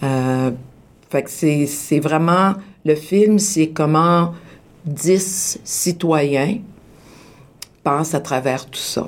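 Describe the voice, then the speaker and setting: A woman speaks with a very deep, low pitch and ordinary pitch variation. Her pace is very slow, broken by long, frequent pauses. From Quebec, Laval. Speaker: actress. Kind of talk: radio interview. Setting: studio.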